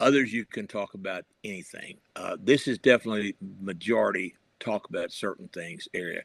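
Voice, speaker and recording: With a western Kentucky accent, a man talks at a moderate pace with lively intonation, recorded close and dry with no echo against a quiet background. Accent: Southern US (western Kentucky). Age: 70s. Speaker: retired journalist and professor, political writer. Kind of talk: interview. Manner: halting, with fillers.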